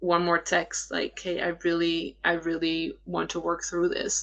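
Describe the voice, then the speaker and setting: A woman's fairly low voice with a Dutch accent, bright and sharp in tone, monotone and flat in intonation. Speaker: attachment style coach. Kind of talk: live Q&A stream. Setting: live stream. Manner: hesitant, many fillers.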